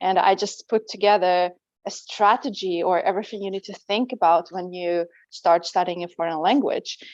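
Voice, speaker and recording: A woman at a moderate pace, her medium-pitched voice marked by big swings in loudness. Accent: Russian. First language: Russian. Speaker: language teacher and coach. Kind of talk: interview.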